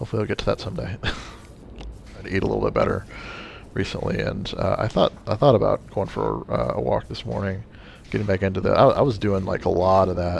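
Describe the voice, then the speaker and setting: Noticeable background noise runs through the clip. Over it, a man talks at a fairly quick pace. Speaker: gamer doing a let's play. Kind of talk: casual gameplay commentary. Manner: halting, many fillers and stutters.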